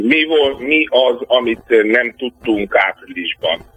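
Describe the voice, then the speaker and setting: Very slow speech from a man, with noticeable background noise behind it. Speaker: political scientist. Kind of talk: radio interview. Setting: phone call.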